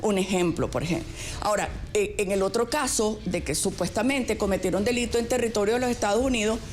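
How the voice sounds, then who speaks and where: Speech comes at a very fast pace with very even loudness and ordinary pitch variation, along with audible room echo and noticeable background noise. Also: woman, medium pitch for a woman. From Venezuela. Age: 60s. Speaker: radio host. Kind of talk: panel discussion.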